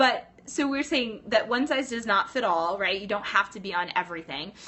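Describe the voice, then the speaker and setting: Animated and fairly quick, a woman with an American accent talks with very wide pitch swings. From US West Coast (Los Angeles). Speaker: pilates instructor and business coach. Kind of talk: live stream chat. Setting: live stream from teachers lounge. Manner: fast.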